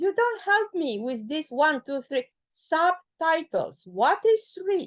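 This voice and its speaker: The speaker is a woman with a non-native accent. She talks very slowly. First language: not English. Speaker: expert reviewer of a document. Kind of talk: feedback session in a work meeting. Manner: animated; halting.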